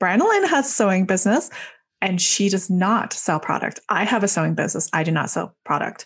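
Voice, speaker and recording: Somewhat breathy, a woman speaks at a fairly quick pace in a medium pitch. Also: quiet background. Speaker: podcast host. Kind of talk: interview.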